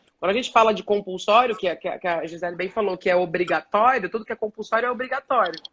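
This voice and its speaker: A woman's very fast delivery with hardly any pauses, ordinary pitch variation and a dry, close sound with no echo. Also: medium pitch for a woman. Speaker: journalist and body positivity activist. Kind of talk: live stream panel discussion.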